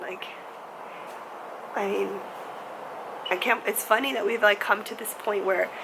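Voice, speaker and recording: A woman amid noticeable background noise. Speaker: vlogger. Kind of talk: casual talk to camera.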